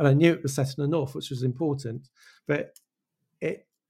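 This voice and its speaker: Fairly high-pitched, somewhat breathy male voice with a dark, mellow tone. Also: very clean recording, silent background. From Wales. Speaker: animation director. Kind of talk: casual interview chat.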